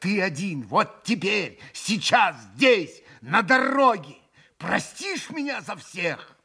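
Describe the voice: Lively intonation over plain reading aloud.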